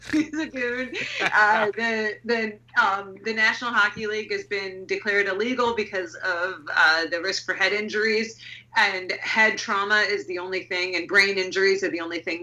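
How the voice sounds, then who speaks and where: This is a woman with an unremarkable speaking voice. She keeps a moderate pace with hardly any pauses. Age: 30s. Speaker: horror and transgressive fiction author. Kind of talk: casual interview chat.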